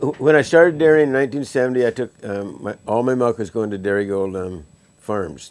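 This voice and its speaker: A man with an American accent, lively intonation and a fairly quick pace. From US Pacific Northwest, rural Washington. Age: 60s. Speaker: retired dairy farmer, beef farmer. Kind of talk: interview. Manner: halting, many fillers.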